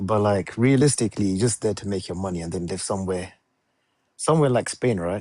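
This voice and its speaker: A man with a London accent talks at a very fast pace in a dark, mellow tone and fairly low pitch. His pitch varies in an ordinary way, over a quiet background. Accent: British, London. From England, London. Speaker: security analyst, caller. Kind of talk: casual chat.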